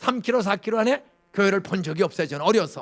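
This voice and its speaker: Animated in tone, a man talks at a fairly quick pace with lively intonation. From Gyeonggi Province, South Korea. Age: 70s. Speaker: pastor. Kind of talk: sermon. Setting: church.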